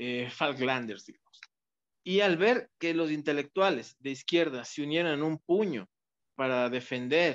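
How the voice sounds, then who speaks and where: A man speaks very slowly, his pitch varying in an ordinary way, and the background is quiet. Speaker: interview guest. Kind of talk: interview answer. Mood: engaged storytelling. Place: home room. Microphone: video call.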